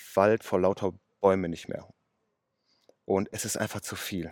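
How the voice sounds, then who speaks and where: A man's monotone, flat voice at a fairly slow pace, dry and close with no echo, in a very clean recording with a silent background. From western Germany, Ruhr area (Oberhausen). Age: 30s. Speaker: car mechanic and day trader. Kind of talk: casual interview. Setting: outdoors.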